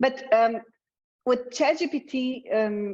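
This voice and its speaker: This woman speaks in a Slovenian accent with ordinary pitch variation. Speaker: communications consultant presenting a webinar. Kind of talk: webinar presentation. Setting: online webinar. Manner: frequent fillers and hesitations.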